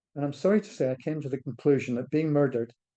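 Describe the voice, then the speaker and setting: A dark, mellow male voice in a Scottish accent with ordinary pitch variation. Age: 70s. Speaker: charity director. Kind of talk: interview talk. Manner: halting.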